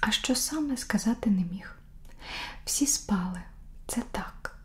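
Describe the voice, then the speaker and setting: At a very slow pace, a woman talks. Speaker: ASMR creator reading a story aloud. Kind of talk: bedtime story reading for sleep. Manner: whispered, soft, slow. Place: home room.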